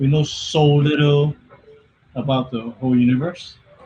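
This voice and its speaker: Against noticeable background noise, a man speaks fairly slowly at a fairly high pitch with fairly even intonation. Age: 40s. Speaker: stream guest. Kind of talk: casual chat.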